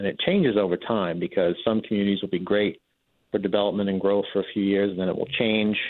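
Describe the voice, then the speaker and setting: An unremarkable speaking voice belongs to this man, fairly low in pitch. He talks at a fairly quick pace with fairly even intonation. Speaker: housing developer. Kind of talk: radio call-in interview. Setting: phone call.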